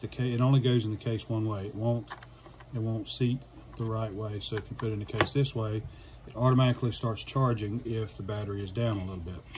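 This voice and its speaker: With noticeable background noise behind him, a man speaks at a fairly quick pace. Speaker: product reviewer. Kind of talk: tutorial. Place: workshop.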